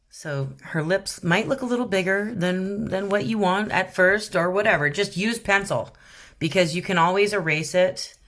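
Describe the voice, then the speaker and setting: On a very clean recording with a silent background, a woman with an ordinary speaking voice talks at a moderate pace, medium in pitch with ordinary pitch variation. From Canada. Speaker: rock painting youtuber. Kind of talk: tutorial. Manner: casual, with many fillers.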